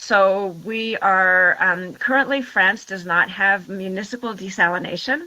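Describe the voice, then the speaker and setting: A woman with a Washington State accent, a bright, sharp tone, ordinary pitch variation, a fairly slow pace and hardly any pauses. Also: medium pitch for a woman. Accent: American, Washington State. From US Pacific Northwest, Washington State. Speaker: water and transport professional, town councillor. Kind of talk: interview. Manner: halting, many fillers and restarts.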